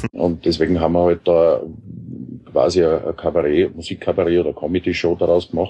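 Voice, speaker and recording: Speaking at a fairly quick pace, a man uses a very deep, low pitch, monotone, flat intonation and very even loudness. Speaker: musician and parodist. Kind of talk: interview.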